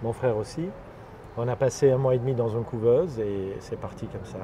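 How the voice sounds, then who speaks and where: At a moderate pace, a man speaks with medium pitch. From Lebanon (Armenian family, Beirut). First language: Armenian (speaking French). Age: 50s. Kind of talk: interview. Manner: hesitant, many fillers.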